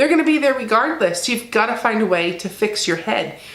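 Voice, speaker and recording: A woman with very wide pitch swings amid noticeable background noise. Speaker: keto weight loss vlogger. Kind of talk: casual talk to camera.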